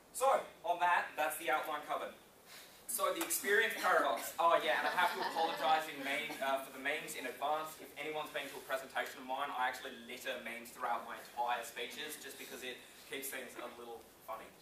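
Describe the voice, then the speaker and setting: Talking very fast with an Australian accent, a man's fairly high voice shows ordinary pitch variation and big swings in loudness, with audible room echo and noticeable background noise. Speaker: business owner and speaker. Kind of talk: conference speech. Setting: stage with audience. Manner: casual, energetic.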